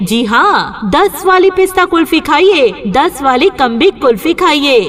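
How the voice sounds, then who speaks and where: Against noticeable background noise, a woman speaks in a high-pitched voice with an upbeat tone. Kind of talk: street vendor loudspeaker advertisement. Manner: upbeat, persuasive.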